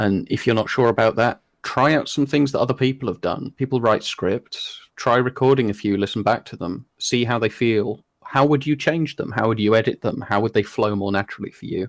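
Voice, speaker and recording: A man with a British accent at a fairly quick pace, with hardly any pauses, ordinary pitch variation, a dry, close sound with no echo, and a very clean recording over a silent background. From Britain. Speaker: hypnotist. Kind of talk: interview.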